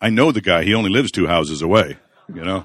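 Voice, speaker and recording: Delivered at a very fast pace, a man's very deep, low voice carries an American accent, dry and close with no echo, on a very clean recording with a silent background. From US Pacific Northwest, central Washington. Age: 60s. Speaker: pastor, guest speaker at men's Bible study. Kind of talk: sermon. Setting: live audience of men.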